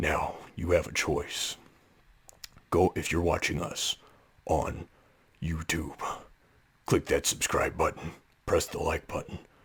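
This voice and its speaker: A put-on character voice, raspy and menacing in tone. It moves at a fairly slow pace. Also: man. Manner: slow, menacing.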